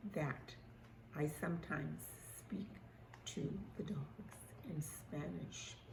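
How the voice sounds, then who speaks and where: Very deep and low for a woman, her voice carries vocal fry. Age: 80s+. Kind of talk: casual talk to camera.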